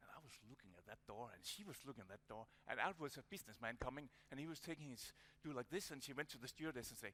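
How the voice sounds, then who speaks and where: A man with a Danish accent and medium pitch speaks at a very fast pace with big swings in loudness. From Denmark. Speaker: conference speaker. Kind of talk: conference presentation. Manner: halting.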